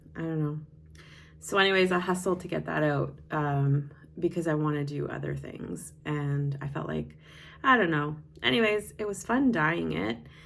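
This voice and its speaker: With audible room echo, a woman talks at a moderate pace in a very deep, low pitch with ordinary pitch variation. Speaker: knitting vlogger and yarn dyer. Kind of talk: casual chat. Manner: loud.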